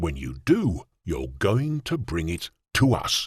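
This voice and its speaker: A man uses a put-on character voice with a growl. He speaks at a fairly slow pace. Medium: audio drama.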